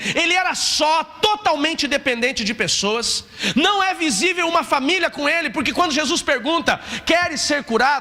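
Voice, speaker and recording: A man projects his voice in a raised tone at an extremely high pitch, with lively intonation and very even loudness. Noticeable background noise is present. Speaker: pastor. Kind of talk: sermon. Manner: fast, animated.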